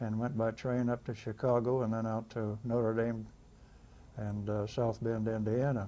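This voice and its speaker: With a US Midwestern accent, a man talks at a medium pitch and moderate pace. His tone is dark and mellow, his intonation monotone and flat. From Kansas, US Midwest. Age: 80s+. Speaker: navy veteran. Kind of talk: oral history interview. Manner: halting.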